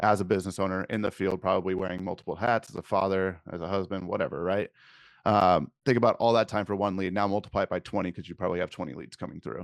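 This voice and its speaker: A man with a very deep, low voice and an American accent, talking very fast with fairly even intonation over a quiet background. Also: dry, close sound with no echo. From California. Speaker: digital marketing agency owner. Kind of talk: podcast interview. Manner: blunt.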